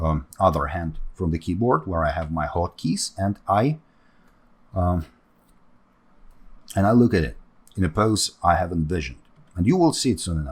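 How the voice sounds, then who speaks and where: In a very clean recording with a silent background, a man with a very deep, low pitch and ordinary pitch variation speaks at a moderate pace, somewhat breathy, with long, frequent pauses. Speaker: 3D sculpting artist and tutor. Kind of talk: tutorial. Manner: halting, many fillers.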